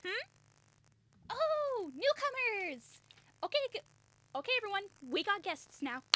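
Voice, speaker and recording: A woman's put-on character voice, extremely high in pitch with very wide pitch swings, at a fairly slow pace with long, frequent pauses. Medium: actual play. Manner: casual, breezy.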